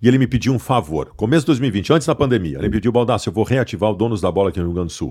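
The recording is very clean, with a silent background. A man talks very fast with lively intonation and hardly any pauses. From southern Brazil, Porto Alegre. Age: 40s. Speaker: sports journalist. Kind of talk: casual chat.

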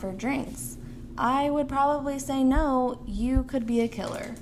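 In a very slow delivery, a woman speaks at a high pitch, with audible room echo and noticeable background noise. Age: 20s. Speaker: podcast co-host. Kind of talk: casual chat.

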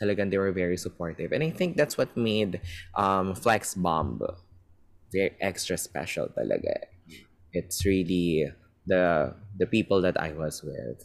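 With ordinary pitch variation, this male speaker's voice sits very deep and low. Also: fairly slow pace. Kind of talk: interview.

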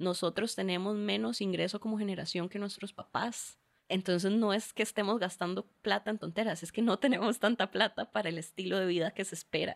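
In a plain, everyday voice, a woman of medium pitch speaks fairly quickly with fairly even intonation, the sound dry and close with no echo. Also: hardly any pauses. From Costa Rica, Curridabat. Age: 20s. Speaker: lawyer. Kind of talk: casual chat.

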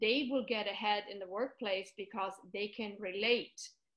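A woman with a German accent speaks at a fairly slow pace, her pitch fairly high and her intonation fairly even. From Germany. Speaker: middle school language teacher. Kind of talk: casual interview.

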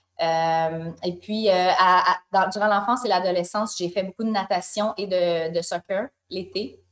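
Here is a woman with an unremarkable speaking voice. She talks at a fairly slow pace, her intonation fairly even. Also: medium pitch for a woman. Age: 30s. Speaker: wellness magazine co-founder. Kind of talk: interview conversation.

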